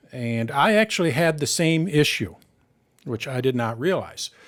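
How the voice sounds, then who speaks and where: A man speaks at a moderate pace with an American accent and lively intonation. The recording is very clean, with a silent background. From Michigan, US Midwest. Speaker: tech tutorial host. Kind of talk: live Q&A session. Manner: casual, with many fillers.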